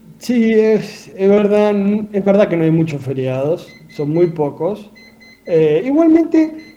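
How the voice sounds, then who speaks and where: Speaking at a very slow pace, a man with a high voice swings his pitch very widely over noticeable background noise. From Argentina, Santa Fe province. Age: 30s. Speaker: cardiac surgeon. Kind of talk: radio interview.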